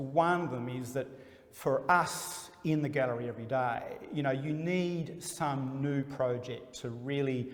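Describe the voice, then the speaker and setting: There is audible room echo around a man with an Australian accent. He talks at a fairly slow pace with fairly even intonation. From Australia (Melbourne). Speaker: gallery dealer. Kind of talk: interview.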